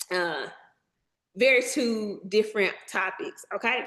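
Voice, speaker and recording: Speaking at a fairly slow pace with a Southern US accent, a woman uses a fairly high pitch, ordinary pitch variation, and an animated tone. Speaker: documentary filmmaker. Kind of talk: workshop presentation. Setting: video call webinar. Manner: casual, animated.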